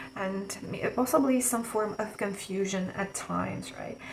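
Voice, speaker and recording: A woman's fairly high voice with a non-native accent, fairly slow and with ordinary pitch variation, over noticeable background noise. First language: not English. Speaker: tarot reader. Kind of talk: tarot reading to camera. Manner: some hesitations and stutters.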